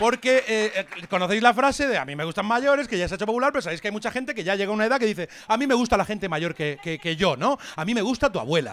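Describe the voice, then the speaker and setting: Talking at a very fast pace, a man with a high-pitched voice uses lively intonation. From Murcia, Spain; Spain. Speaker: stand-up comedian. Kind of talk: stand-up comedy monologue. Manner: casual, energetic. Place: stage. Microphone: handheld.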